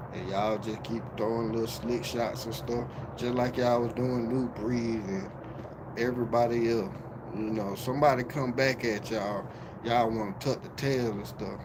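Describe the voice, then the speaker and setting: In a room with audible echo and noticeable background noise, a man with an American accent speaks at a medium pitch with monotone, flat intonation. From Miami, Florida. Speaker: YouTube live streamer. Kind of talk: livestream call-out rant. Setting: livestream. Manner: slow.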